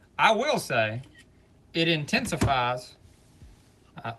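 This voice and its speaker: With music playing in the background, a man speaks in an American accent. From Alabama, US South. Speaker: live streamer and clothing reseller. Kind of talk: casual chat.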